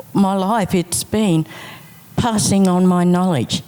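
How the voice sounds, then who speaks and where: Background noise is noticeable. A woman talks very slowly over it. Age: 60s. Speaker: business owner and trainer. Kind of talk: panel discussion.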